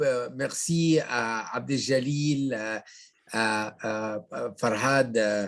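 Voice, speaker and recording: Speaking with a non-native accent, a man uses a medium pitch and ordinary pitch variation. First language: Arabic (speaking French). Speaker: sociology professor. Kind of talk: lecture. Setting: video call. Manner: halting.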